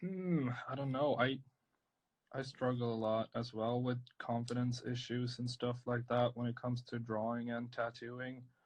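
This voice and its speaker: At medium pitch and a moderate pace, a man speaks in a monotone, flat intonation. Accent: strong Swedish. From northern Sweden. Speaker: tattoo artist. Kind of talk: live-stream drawing chat. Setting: live video stream.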